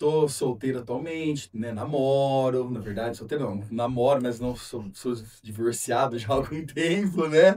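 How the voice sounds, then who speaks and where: Speaking at a very slow pace, the voice shows ordinary pitch variation. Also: man. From São Paulo, Brazil. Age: 40s. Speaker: single father sharing his story. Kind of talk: personal testimony in interview. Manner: hesitant, many fillers.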